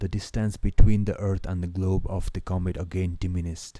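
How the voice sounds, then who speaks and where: On a very clean recording with a silent background, a man with a non-native accent speaks at a very deep, low pitch in a dark, mellow tone with monotone, flat intonation. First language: not English. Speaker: book reader. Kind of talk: reading aloud. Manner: halting.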